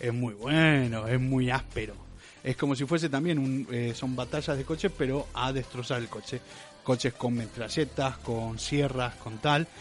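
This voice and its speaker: Fairly slow speech carries ordinary pitch variation. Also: man, medium pitch for a man. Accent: Rioplatense. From Argentina, Rosario. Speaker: podcast co-host. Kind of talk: casual chat. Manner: animated.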